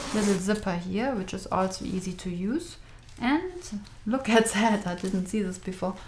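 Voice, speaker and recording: There is light background noise. Over it, a woman talks at a moderate speed, her pitch varying in an ordinary way. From Germany. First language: German. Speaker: craft store owner. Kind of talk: product review. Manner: enthusiastic. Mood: enthusiastic, friendly.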